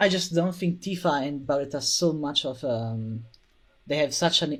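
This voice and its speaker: A man talks with lively intonation and a fairly high pitch, in a non-native accent. The recording is very clean, with a silent background. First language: not English. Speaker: video game fan. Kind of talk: casual chat. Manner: halting, many fillers.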